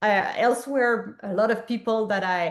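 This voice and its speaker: A woman with a Quebec accent speaks at a moderate pace with fairly even intonation. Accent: French-Canadian accent in English. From Quebec, Montreal. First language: French. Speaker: public health physician and researcher. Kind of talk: interview conversation. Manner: halting, many fillers.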